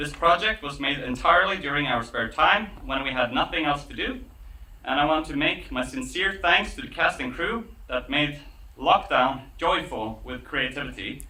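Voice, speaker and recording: There is noticeable background noise. Through it, a man talks at a moderate pace. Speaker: filmmaker. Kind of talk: premiere speech to festival audience.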